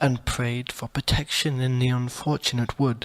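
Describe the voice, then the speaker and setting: Soft-spoken, a man talks at a moderate pace with a medium pitch. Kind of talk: audiobook short story reading.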